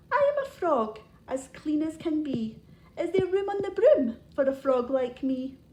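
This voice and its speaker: A woman puts on a croaky character voice, high in pitch, at a moderate pace. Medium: read story.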